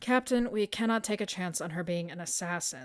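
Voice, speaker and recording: A woman's gruff, put-on character voice, medium in pitch, at a fairly quick pace with lively intonation. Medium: read story. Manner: cold, gruff.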